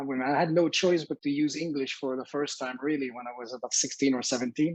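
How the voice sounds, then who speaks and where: This man's voice sits fairly high. His words come out very fast. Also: fairly even intonation, dry, close sound with no echo. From Quebec (Sherbrooke). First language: French. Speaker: educator. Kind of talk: casual interview chat. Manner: halting.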